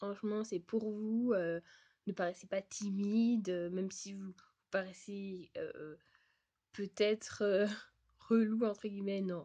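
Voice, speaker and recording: A woman's dark, mellow voice at a medium pitch, very slow, with fairly even intonation. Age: 20s. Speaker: vlogger and au pair. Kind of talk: advice vlog. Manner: hesitant, many fillers.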